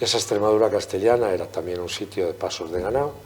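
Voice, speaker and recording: A man's fairly quick delivery carries lively intonation. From Spain, Guadalajara countryside (Castile). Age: 60s. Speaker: novelist. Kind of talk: interview at book presentation.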